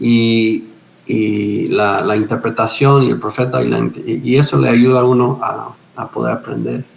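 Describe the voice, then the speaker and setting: A man speaks fairly slowly while noticeable background noise carries on. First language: English (speaking Spanish). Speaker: pastor, missionary and retired police officer. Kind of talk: interview testimony. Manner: halting with repetitions.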